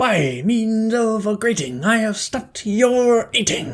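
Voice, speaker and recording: The speaker uses a put-on character voice with a fairly high pitch. The pace is fairly slow. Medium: read story.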